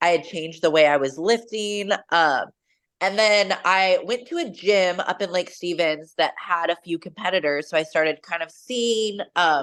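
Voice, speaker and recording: With a West Coast accent, a woman speaks at a moderate pace in a fairly low pitch with ordinary pitch variation. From Washington State, US. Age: 30s. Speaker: bikini bodybuilding competitor and coach. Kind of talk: interview. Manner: casual, many fillers.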